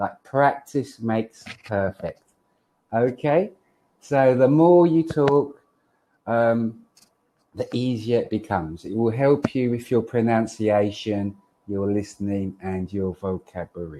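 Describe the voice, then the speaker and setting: A man speaks with a London accent at a fairly slow pace and medium pitch. His tone is dark and mellow, his intonation lively. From London, England. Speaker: online English tutor. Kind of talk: casual tutoring conversation. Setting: video call.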